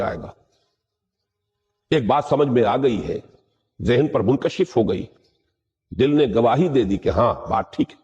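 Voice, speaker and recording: The man's voice sits at a fairly high pitch and is somewhat breathy. Its tone is dark and mellow. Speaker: Islamic scholar giving a Quran lecture. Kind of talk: religious lecture (bayan).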